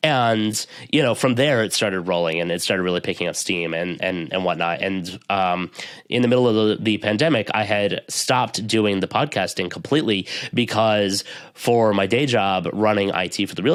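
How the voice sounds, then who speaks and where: Ordinary pitch variation marks this speaker with an American accent, in a very clean recording with a silent background. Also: man. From US East Coast. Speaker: IT professional and podcaster. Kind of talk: interview conversation. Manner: fast.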